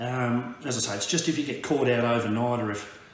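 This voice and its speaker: A man talks at a fairly quick pace. Room echo is audible. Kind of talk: casual vlog chat. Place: home room. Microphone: camera far.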